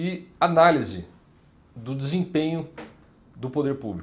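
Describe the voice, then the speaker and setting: A man's voice comes across somewhat breathy. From Paraná, Brazil (Maringá); Paraná, Brazil. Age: 30s. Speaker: state legislator; politician interviewee. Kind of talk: interview. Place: office.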